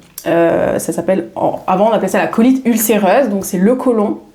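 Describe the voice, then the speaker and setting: A woman's fairly slow speech, with ordinary pitch variation, comes through noticeable background noise. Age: 30s. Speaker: wellness coach. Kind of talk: podcast interview. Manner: hesitant, many fillers.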